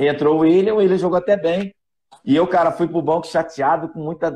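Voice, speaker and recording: A man speaks at a moderate pace in a dark, mellow tone. His pitch varies in an ordinary way. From Rio de Janeiro, Brazil (Vila da Penha). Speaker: former professional footballer. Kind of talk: live podcast interview.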